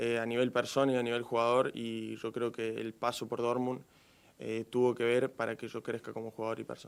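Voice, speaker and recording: A man in an Argentine accent at a medium pitch, fairly quick pace and monotone, flat intonation. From Argentina. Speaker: professional footballer. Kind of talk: press conference.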